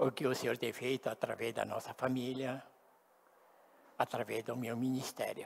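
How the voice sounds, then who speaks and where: Speaking at a moderate pace and medium pitch, a man keeps a monotone, flat intonation and leaves long, frequent pauses. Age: 70s. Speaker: pastor. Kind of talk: sermon.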